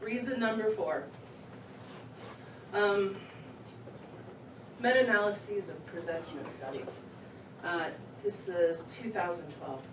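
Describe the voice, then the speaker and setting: A woman talks at a fairly slow pace and a medium pitch, with lively intonation, big swings in loudness, and long, frequent pauses. Audible room echo and noticeable background noise surround her voice. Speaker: executive director of a research association, conference speaker. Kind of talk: conference talk. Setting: live event venue with audience. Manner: filler-heavy, with frequent ums and uhs.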